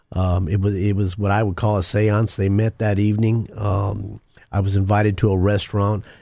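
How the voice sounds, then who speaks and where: A man with an American accent, fairly low in pitch, dark and mellow in tone, monotone and flat, at a moderate pace with very even loudness against a quiet background. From Denver, Colorado. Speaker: ex-mobster turned minister and author. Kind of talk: testimony.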